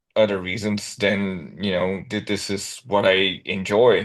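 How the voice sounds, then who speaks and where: This man has a non-native accent and a fairly low pitch. His intonation is flat and monotone. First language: not English. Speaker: metal band vocalist. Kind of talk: casual interview.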